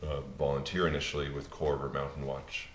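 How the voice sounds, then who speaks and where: Noticeable background noise and audible room echo surround a man with an American accent and a very deep, low pitch, speaking at a fairly quick pace. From Pennsylvania. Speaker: opera singer. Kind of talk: panel discussion.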